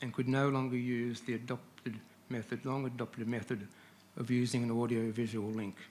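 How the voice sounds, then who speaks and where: A man of medium pitch with an Australian accent and fairly even intonation. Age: 70s. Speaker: resident speaking at council public forum. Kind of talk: public address to council. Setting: council chamber. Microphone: too far from microphone at first.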